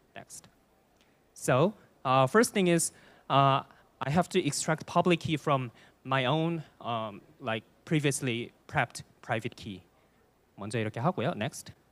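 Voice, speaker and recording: With a Korean accent, a man speaks at a fairly slow pace and medium pitch, his intonation lively, his long pauses frequent, in a very clean recording with a silent background and a dry, close sound with no echo. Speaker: data analyst, conference speaker. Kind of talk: conference presentation. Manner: hesitant, with fillers.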